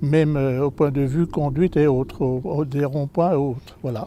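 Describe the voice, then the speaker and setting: A man's dark, mellow tone at a fairly high pitch. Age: 80s+. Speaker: senior driver, course participant. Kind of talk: interview.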